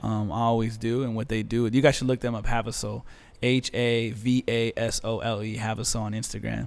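Fairly quick and flat in a monotone, a man speaks at a medium pitch with an American accent. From Azusa, California. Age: 20s. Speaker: DJ. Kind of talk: casual chat.

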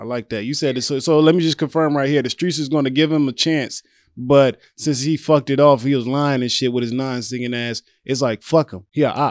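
In a normal speaking voice with an American accent, a man talks at a fairly quick pace and fairly high pitch with fairly even intonation, recorded dry and close with no echo on a very clean, silent background. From Louisiana, US South. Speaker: comedian, social media creator. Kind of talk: casual chat. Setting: studio.

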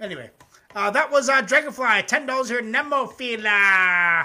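Raised and projected, a man's voice with a high pitch and a bright, sharp tone goes at a moderate pace on a very clean recording with a silent background. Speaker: music reaction livestream host. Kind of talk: casual livestream commentary. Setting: live YouTube stream. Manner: loud, yelling at times.

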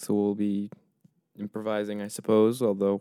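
On a very clean recording with a silent background, a man speaks at a moderate pace in a fairly low pitch with a dark, mellow tone. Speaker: podcast co-host. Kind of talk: casual banter.

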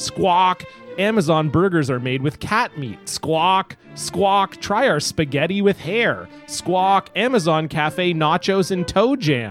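A man puts on a guttural character voice, high-pitched for a man, talking at a fairly slow pace with faint music in the background. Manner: ventriloquist-like, throat-made.

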